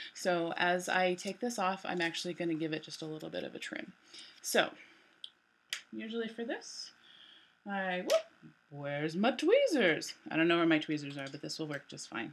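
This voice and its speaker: A woman at a fairly low pitch and moderate pace, with lively intonation and big swings in loudness. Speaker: nail wrap consultant. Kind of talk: casual tutorial talk to camera. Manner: hushed, quiet.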